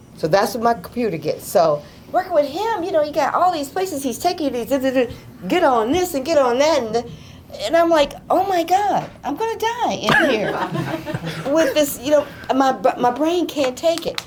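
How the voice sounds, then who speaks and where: Heard through audible room echo and noticeable background noise, a woman's high voice swings very widely in pitch. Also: moderate pace. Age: 70s. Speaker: nurse and nursing school founder. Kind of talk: audience testimony. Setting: office event with live audience. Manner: casual, halting.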